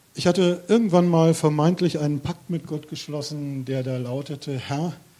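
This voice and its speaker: His voice has a dark, mellow tone and is somewhat breathy. This man talks at a moderate speed, with ordinary pitch variation. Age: 50s. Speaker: lay preacher. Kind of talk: sermon.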